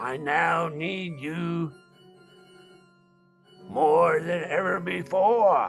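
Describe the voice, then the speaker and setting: Over faint music in the background, a man does a put-on character voice at a high pitch. He delivers it at a very slow pace. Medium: stage play. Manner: grandiose, melodramatic.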